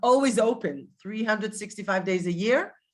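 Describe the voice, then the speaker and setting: On a very clean recording with a silent background, a woman with an Israeli accent talks at a medium pitch with fairly even intonation. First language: Hebrew. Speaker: tour guide and educator. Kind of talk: virtual guided tour presentation. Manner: halting, with many fillers.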